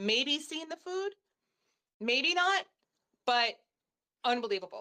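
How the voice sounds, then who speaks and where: A woman's loud, animated voice with a bright, sharp tone, very wide pitch swings, a moderate pace and a dry, close sound with no echo. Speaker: dentist. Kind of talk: interview. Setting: live stream.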